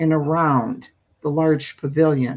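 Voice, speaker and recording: This woman has a very deep, low pitch. She speaks at a very slow pace. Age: old. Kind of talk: spooky story reading. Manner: tired, sleepy.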